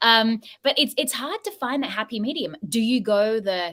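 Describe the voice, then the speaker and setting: A woman talks with an Australian accent and a fairly high pitch. Her intonation is lively. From Sydney, Australia. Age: 30s. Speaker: podcast co-host. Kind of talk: casual panel discussion.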